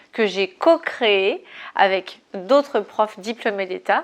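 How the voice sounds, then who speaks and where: Lively intonation marks a woman's speech at a very slow pace. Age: 30s. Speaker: fitness coach. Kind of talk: casual vlog monologue. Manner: hesitant fillers.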